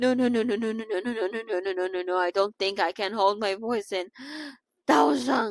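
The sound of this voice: An unforced reading voice with ordinary pitch variation, set against a quiet background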